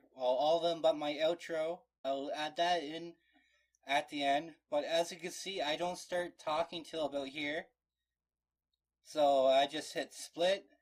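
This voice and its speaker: Monotone, flat delivery broken by long, frequent pauses. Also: man. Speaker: gaming YouTuber. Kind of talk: tutorial. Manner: casual, halting with pauses.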